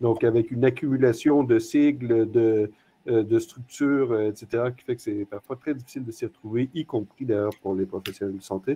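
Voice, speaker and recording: A man speaks with a non-native accent at a moderate pace. His intonation is fairly even. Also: medium pitch for a man. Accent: non-French accent, noticeable. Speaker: hospital executive, panelist. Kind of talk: panel discussion. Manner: hesitant, many fillers.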